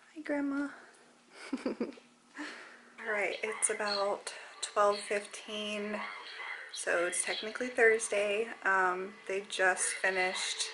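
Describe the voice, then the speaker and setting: A woman's voice with ordinary pitch variation over noticeable background noise. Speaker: expectant mother vlogger. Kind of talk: casual vlog chat. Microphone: phone near.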